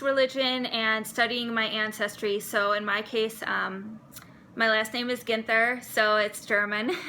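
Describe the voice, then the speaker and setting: A woman with a Wisconsin accent talks at a fairly slow pace in a fairly high pitch, her intonation monotone and flat. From US Midwest, Milwaukee, Wisconsin. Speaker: seminary student. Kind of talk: personal vlog monologue.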